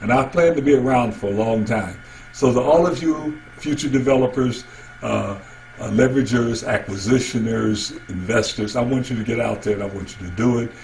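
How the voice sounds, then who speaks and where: As the man talks, noticeable background noise and audible room echo fill the recording. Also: medium pitch for a man, ordinary pitch variation. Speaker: real estate coach. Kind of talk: lecture. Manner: fast.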